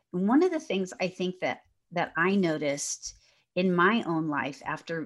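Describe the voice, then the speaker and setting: Loud and with very wide pitch swings, a woman's voice rises and falls. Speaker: podcast host and minister. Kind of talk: casual interview chat.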